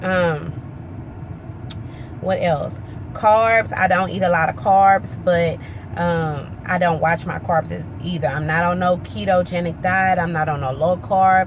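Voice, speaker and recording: Over noticeable background noise, a woman talks fairly slowly. Her pitch is fairly low, with ordinary variation. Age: 20s. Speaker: weight loss vlogger. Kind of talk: casual vlog update.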